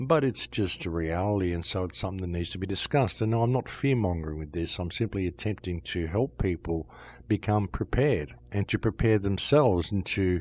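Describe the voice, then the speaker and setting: Somewhat breathy and very deep, a man's low voice moves at a fairly quick pace with ordinary pitch variation in a very clean recording with a silent background. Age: 60s. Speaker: podcast host. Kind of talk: monologue commentary.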